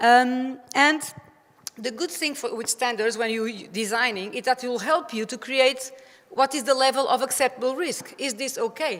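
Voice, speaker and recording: Over noticeable background noise, a woman with a Portuguese accent speaks at a moderate pace and a high pitch. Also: ordinary pitch variation. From Portugal. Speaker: playground safety expert. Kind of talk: conference presentation. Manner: halting.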